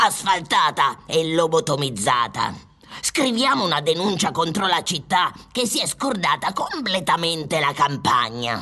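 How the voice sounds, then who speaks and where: The voice sits at a middle pitch and moves at a moderate pace. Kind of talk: absurdist radio comedy. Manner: exclamatory, theatrical, bossy.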